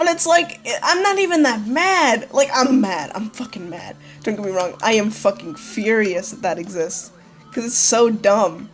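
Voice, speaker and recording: Moving through very wide pitch swings and big shifts in loudness, a woman speaks at a fairly high pitch and a moderate pace. Noticeable background noise sits behind her. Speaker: gaming youtuber. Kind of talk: let's play commentary. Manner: animated.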